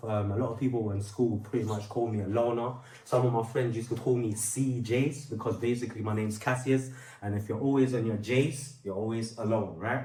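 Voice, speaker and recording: A man speaks at a medium pitch and a fairly quick pace, with fairly even intonation. There is audible room echo and noticeable background noise. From London. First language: Portuguese. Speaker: rapper and singer. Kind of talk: testimony. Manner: casual, with many fillers.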